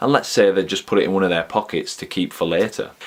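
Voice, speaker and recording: Speaking in a Yorkshire accent, a man talks with an animated tone. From Yorkshire, northern England. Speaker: movie reviewer and film extra. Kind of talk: casual video commentary.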